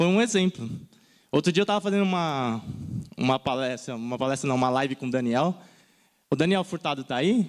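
The pace is fairly quick, yet long, frequent pauses break it up. Intonation is lively over a quiet background. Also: man, fairly high pitch for a man. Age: 30s. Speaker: design content creator. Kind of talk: conference talk. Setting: stage with audience. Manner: animated. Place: stage. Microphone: handheld.

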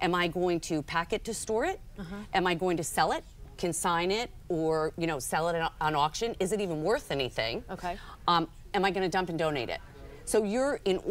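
Lively intonation marks a woman's speech. She keeps a fairly quick pace. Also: fairly low pitch for a woman. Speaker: guest. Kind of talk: interview answer. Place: studio. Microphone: lapel.

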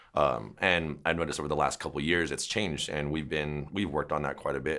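Against a quiet background, a man with an American accent talks very fast, his very deep, low voice marked by vocal fry. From US West, San Jose, California; California. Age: 30s. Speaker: dog trainer. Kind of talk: interview. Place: shop.

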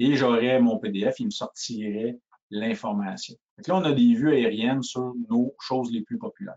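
Speaking at a fairly slow pace, a man has a medium pitch. His pitch variation is ordinary. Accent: strong rural Quebec. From Quebec (Shawinigan). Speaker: sales engineer. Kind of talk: webinar product demo. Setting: online webinar. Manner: halting, frequent repetitions and fillers.

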